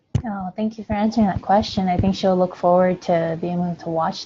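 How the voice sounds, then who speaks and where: A woman with a non-native accent, medium in pitch, somewhat breathy, in a monotone, flat intonation at a moderate pace. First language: not English. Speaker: yoga book club host. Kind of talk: video call interview. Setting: video call.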